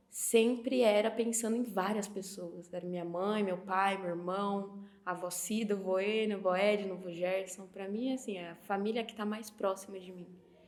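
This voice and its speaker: Speaking at a moderate pace with hardly any pauses, a woman with a medium pitch keeps her intonation fairly even while her loudness swings widely over noticeable background noise. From Brazil, interior of São Paulo (Sorocaba). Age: 20s. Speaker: film student. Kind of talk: documentary interview testimony.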